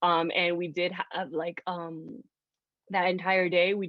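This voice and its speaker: A woman with a Spanish accent, fairly low in pitch, at a moderate pace. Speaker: social media manager at a music label. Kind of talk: panel discussion. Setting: video call.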